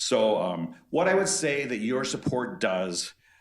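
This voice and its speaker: Audible room echo surrounds the voice. It belongs to a man with an American accent. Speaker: retired volunteer. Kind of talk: public comment at a board meeting. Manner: fast.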